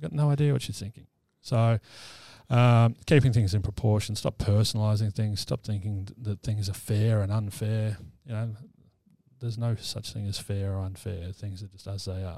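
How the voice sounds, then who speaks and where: At a moderate pace and with an Australian accent, a dark, mellow voice keeps fairly even intonation but shows big swings in loudness, in a very clean recording with a silent background. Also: man, fairly low pitch for a man. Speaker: mental health practitioner and army veteran. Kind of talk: casual interview chat. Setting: studio.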